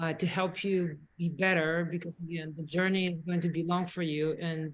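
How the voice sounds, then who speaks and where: A woman with a slight Polish accent speaks in a fairly low pitch with a monotone, flat intonation. Her voice is somewhat breathy and her pace is moderate. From Poland. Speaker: dentist. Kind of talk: webinar presentation. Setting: online webinar, sitting with a colleague.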